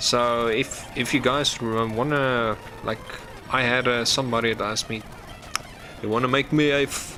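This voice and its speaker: A man talks with an Afrikaans South African accent. Noticeable background noise runs behind him. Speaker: gaming streamer. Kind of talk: live gameplay stream commentary. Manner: halting, stumbling over words.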